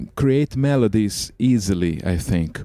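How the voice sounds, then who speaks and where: In a Portuguese accent, a man speaks with a dark, mellow tone. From Brazil. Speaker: microtonal composer and musician. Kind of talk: interview. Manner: halting, many fillers and repeats.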